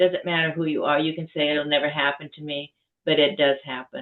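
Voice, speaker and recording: A woman speaks with a very deep, low pitch for a woman. Her intonation is monotone and flat. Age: 80s+. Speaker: author and survivor advocate. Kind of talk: testimony. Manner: halting.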